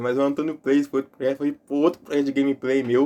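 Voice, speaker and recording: The speech comes at a very fast pace. Its tone is dark and mellow. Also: man. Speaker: YouTuber and podcast host. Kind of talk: casual solo podcast monologue. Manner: casual and informal.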